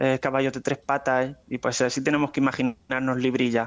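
This man has an unremarkable speaking voice, pitched fairly high and moving at a fairly quick pace. The background is quiet, and the sound is dry and close with no echo. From Spain, Murcia (Águilas). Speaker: paleontologist. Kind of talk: interview.

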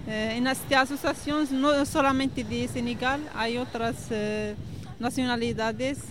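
Her high-pitched voice stays monotone and flat as this woman talks at a fairly slow pace. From Morocco. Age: young. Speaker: association member. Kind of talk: interview. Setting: outdoors at the beach. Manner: halting.

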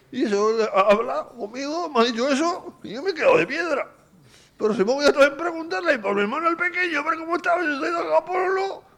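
A man talks at a fairly quick pace in an extremely high pitch, with very wide pitch swings. Noticeable background noise runs underneath. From Vizcaya, Spain. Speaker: psychiatric care home resident. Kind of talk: radio interview.

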